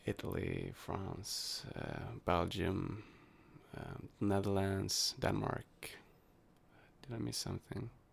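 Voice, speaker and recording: In a Swedish accent, a man speaks very slowly at a fairly low pitch with vocal fry. He leaves long, frequent pauses. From Sweden. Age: 20s. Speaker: university student. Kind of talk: casual chat. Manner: halting.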